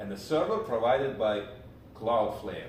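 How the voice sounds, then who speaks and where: At a very slow pace, a man speaks with a Russian accent at a medium pitch and ordinary pitch variation. Noticeable background noise and audible room echo fill the recording. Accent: Russian accent, non-native English. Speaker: programming instructor. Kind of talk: live tutorial stream. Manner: halting, many fillers.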